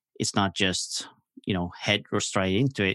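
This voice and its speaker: Moderate-paced speech from a man with a Norwegian accent and a very deep, low pitch, with ordinary pitch variation, a dry, close sound with no echo and a quiet background. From Norway. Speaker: launch strategist and podcaster. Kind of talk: casual interview.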